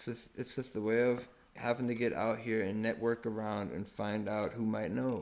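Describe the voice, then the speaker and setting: A man with a German accent talks at a moderate pace and medium pitch, his intonation fairly even but his loudness swinging widely. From Germany. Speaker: permaculture enthusiast. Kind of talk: casual chat.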